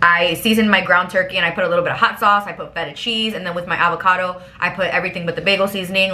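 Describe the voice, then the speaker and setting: A woman at a medium pitch talking at a very fast pace, with audible room echo and noticeable background noise. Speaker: lifestyle vlogger. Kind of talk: casual chat. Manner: animated.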